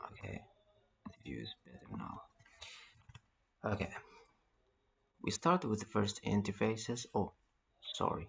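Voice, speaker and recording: Speaking at a fairly slow pace with a non-native accent, this voice leaves long, frequent pauses and swings widely in loudness. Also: man. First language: not English. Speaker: networking tutorial instructor. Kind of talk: tutorial.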